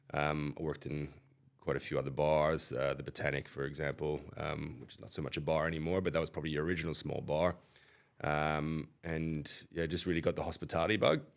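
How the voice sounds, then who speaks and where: A man with an American accent, a very deep, low pitch and vocal fry, at a fairly quick pace, monotone and flat, with big swings in loudness. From Switzerland. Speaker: pub owner. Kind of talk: casual interview. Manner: halting, many fillers.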